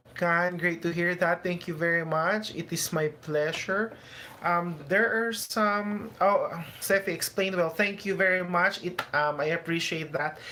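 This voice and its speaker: Noticeable background noise runs through the clip. The speaker talks fairly slowly. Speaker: immigration advice YouTuber. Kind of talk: livestream Q&A. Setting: YouTube livestream.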